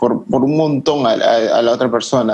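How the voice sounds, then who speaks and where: A man talks in an ordinary speaking voice at a medium pitch. His pitch varies in an ordinary way, and his pace is fairly slow. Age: 20s. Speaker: graphic design student and photographer. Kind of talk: casual chat.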